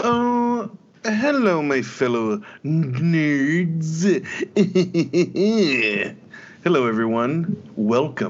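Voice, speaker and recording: Using a put-on character voice, a man speaks with a fairly high pitch. His pace is very slow, with long, frequent pauses. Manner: fantasy storyteller, timid and theatrical.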